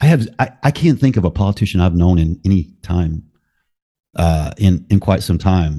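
A man talks at a moderate pace with a very deep, low pitch and a dark, mellow tone. The background is quiet. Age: 50s. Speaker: podcaster. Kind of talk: casual conversation.

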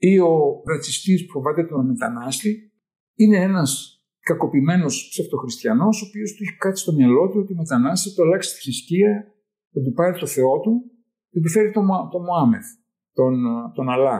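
A man with a dark, mellow tone speaks high in pitch at a moderate pace, with lively intonation and big swings in loudness. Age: 70s. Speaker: retired neurologist-psychiatrist. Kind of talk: personal testimony.

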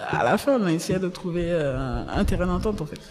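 Music plays in the background as a woman speaks at a fairly slow pace. Her pitch is fairly low, with ordinary variation. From Côte d'Ivoire, Abidjan (Abobo). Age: young. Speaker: entrepreneur. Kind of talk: interview.

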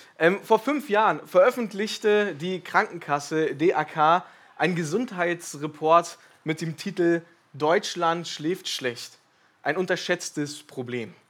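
This very clean recording with a silent background features a man speaking very slowly. His pitch is high, with ordinary variation. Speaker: lay preacher and historian. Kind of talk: sermon. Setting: church service.

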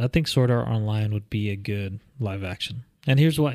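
A man with a normal speaking voice talks at medium pitch with ordinary pitch variation on a very clean recording against a silent background. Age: 30s. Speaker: podcast co-host. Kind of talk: casual chat.

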